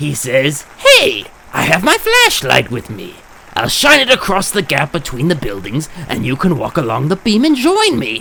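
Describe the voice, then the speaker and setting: A man uses a cartoonish character voice with a fairly high pitch. He talks at a moderate pace. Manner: theatrical, mocking.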